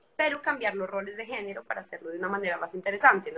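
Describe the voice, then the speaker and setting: A woman talks at a medium pitch as noticeable noise sits in the background. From Colombia, Bogotá. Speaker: singer. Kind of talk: interview.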